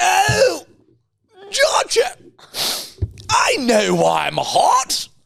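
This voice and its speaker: A man uses a put-on character voice pitched extremely high. He speaks at a very slow pace with long, frequent pauses. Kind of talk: upper-class.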